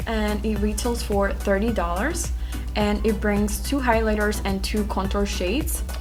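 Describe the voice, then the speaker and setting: A woman speaks fairly slowly in a flat monotone while music plays in the background. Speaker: beauty YouTuber. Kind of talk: makeup unboxing review talking to camera. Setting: hotel room at night. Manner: whispered, quiet.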